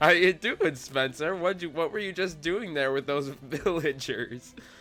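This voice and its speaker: Over music in the background, a man speaks fairly slowly at a fairly high pitch, with ordinary pitch variation. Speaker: gaming video creator. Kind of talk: casual gameplay commentary. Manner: casual, halting.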